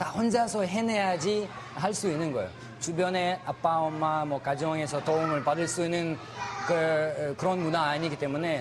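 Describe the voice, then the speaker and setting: A man speaks at a moderate pace in a fairly high pitch with ordinary pitch variation and very even loudness, with audible room echo and noticeable background noise. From Ukraine. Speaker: Russian language teacher. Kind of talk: interview. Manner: halting.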